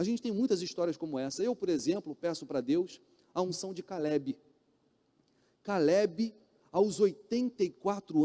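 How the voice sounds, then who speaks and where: A man's voice has a dark, mellow tone and very wide pitch swings. The sound is dry and close, with no echo. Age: 40s. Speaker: pastor. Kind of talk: sermon. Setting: church.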